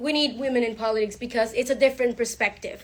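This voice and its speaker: A loud woman's voice, high-pitched, with fairly even intonation. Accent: Spanish. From Panama. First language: Spanish. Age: 20s. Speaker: lawyer and politician. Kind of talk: speech. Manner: halting.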